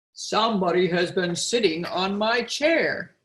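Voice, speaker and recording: In a put-on character voice, a woman speaks raspily at a medium pitch and a fairly slow pace. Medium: read story.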